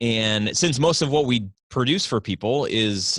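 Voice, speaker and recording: Ordinary pitch variation from a man with an American accent. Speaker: video production business owner. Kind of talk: podcast interview.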